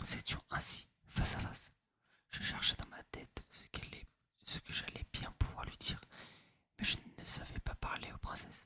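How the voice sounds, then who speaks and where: A man whispers at a moderate pace, pausing often and at length. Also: big swings in loudness. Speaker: ASMR creator. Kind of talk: read story. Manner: whispered.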